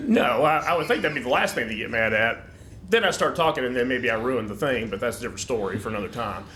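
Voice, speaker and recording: With audible room echo and noticeable background noise, a man speaks at a very fast pace. His intonation is lively. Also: medium pitch for a man. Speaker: podcast guest. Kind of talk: comedic casual chat. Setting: studio. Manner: loud.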